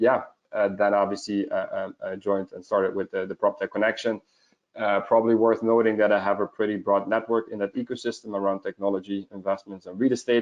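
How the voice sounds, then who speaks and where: A man talks at a fairly quick pace with a Dutch accent. His pitch is fairly low. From Netherlands. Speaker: proptech investment network founder. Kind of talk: panel interview on video call. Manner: halting with many fillers.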